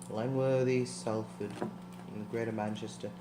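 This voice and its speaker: A man's voice with audible room echo. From northern England, Liverpool. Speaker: podcast co-host. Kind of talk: casual chat. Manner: hesitant, many fillers.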